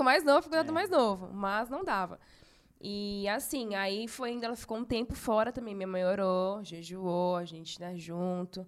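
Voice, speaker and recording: A woman with an unremarkable speaking voice, fairly high in pitch, at a moderate pace with lively intonation. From São Paulo, Brazil. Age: 30s. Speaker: church youth volunteer. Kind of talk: casual chat, testimony.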